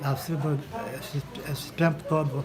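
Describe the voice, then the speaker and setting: A man speaks in a room with audible echo. Noticeable background noise runs under his voice. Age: 80s+. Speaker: retired factory worker. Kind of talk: interview.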